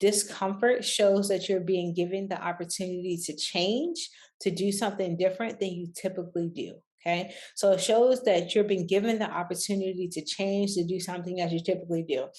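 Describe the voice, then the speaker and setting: This woman has a normal speaking voice, medium in pitch, and talks at a fairly quick pace with fairly even intonation. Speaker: business coach and online entrepreneur. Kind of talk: casual talk to camera. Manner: conversational, many fillers.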